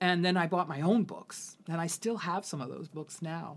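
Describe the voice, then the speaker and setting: Her pitch sits fairly low for a woman. She talks at a moderate pace. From San Francisco, US West Coast. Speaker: poet and activist. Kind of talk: interview conversation. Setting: symposium gathering. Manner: halting, many repetitions.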